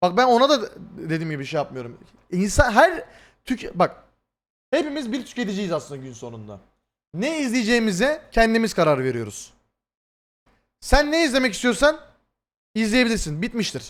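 At a moderate pace, a high-pitched man speaks in an animated tone with very wide pitch swings, big swings in loudness, and long, frequent pauses. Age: 20s. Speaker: streamer. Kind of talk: live stream commentary to chat.

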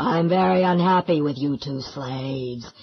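A put-on character voice sits at a low-to-middle pitch and moves at a moderate pace. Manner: menacing, domineering.

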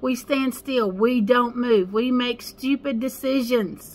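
The voice belongs to a woman and sits high in pitch. She talks fairly slowly. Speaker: spiritual life coach. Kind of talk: casual vlog chat. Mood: earnest, encouraging. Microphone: phone near.

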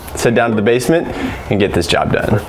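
A man's voice over light background noise. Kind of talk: client consultation and tutorial commentary. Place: home room.

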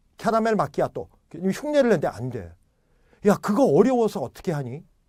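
A man with a high pitch and a dark, mellow tone moves through very wide pitch swings at a moderate pace. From South Korea. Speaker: English teacher. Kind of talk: lecture. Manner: animated.

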